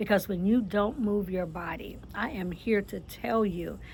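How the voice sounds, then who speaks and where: A woman's voice sits at a medium pitch. It has a somewhat breathy quality. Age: 60s. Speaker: author and lifestyle vlogger. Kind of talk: casual motivational talk. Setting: outdoors on a patio. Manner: conversational, with fillers and repetitions.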